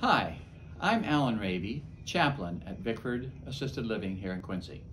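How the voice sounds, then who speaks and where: Lively intonation marks this man's medium-pitched voice at a moderate pace. Room echo is audible. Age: 70s. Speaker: chaplain. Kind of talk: talk to camera.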